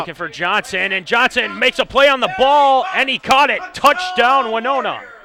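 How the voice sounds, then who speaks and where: Over noticeable background noise, a man with an extremely high pitch talks in a raised, projected voice at a moderate pace, with lively intonation and hardly any pauses. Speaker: play-by-play announcer. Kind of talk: live college football play-by-play commentary.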